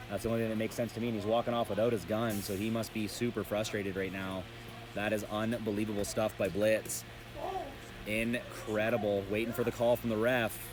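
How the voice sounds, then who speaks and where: Over noticeable background noise, a man with a fairly low pitch talks very fast. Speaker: paintball commentator. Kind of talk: live commentary. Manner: animated.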